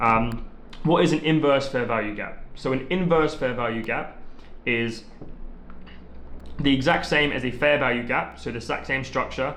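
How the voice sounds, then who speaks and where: Long, frequent pauses break up a man's speech amid audible room echo. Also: medium pitch for a man, ordinary pitch variation. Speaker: trading content creator. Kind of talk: tutorial. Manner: fast; casual, many filler ums.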